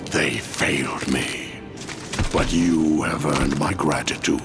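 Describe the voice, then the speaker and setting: A man performs a cartoonish character voice at a fairly slow pace. Loud background noise runs behind him. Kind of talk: dark fantasy villain acting. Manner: imperious, sardonic.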